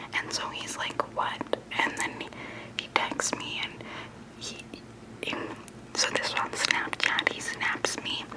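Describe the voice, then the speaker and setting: Someone whispers at a fairly slow pace, with long, frequent pauses and noticeable background noise. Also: woman. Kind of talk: ASMR storytime. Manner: whispered.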